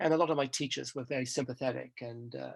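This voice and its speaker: With an English accent, this man keeps to a moderate pace. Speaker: professor. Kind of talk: interview. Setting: podcast recording. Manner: halting.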